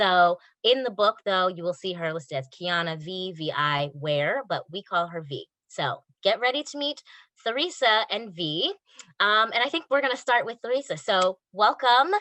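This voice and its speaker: An American-accented woman speaks at a medium pitch and a moderate pace in a bright, sharp, animated tone with very wide pitch swings, in a dry, close sound with no echo. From New York. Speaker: podcast host. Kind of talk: podcast interview.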